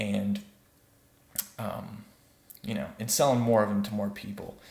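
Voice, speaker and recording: Soft-spoken, a man talks with a fairly low pitch and fairly even intonation. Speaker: web development vlogger. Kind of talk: casual vlog monologue. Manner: halting, many fillers.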